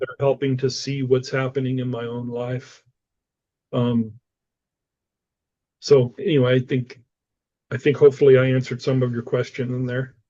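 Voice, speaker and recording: A man talks in a dark, mellow tone with a flat, monotone intonation. His loudness swings widely, and he leaves long, frequent pauses. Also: medium pitch for a man, moderate pace. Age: 60s. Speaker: spiritual director and author. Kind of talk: interview conversation.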